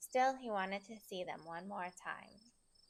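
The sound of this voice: An unforced reading voice with pitch that varies in an ordinary way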